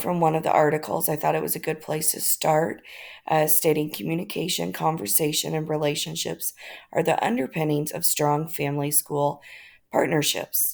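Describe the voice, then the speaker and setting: This speaker has an American accent and vocal fry. The recording is very clean, the background silent. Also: woman. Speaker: graduate student in education leadership. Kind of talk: class presentation. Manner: hesitant, many fillers.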